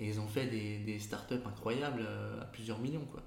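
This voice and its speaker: With audible room echo, a man talks at a moderate pace in a medium pitch with ordinary pitch variation. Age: 30s. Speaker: entrepreneur. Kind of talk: interview. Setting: in his agency's office.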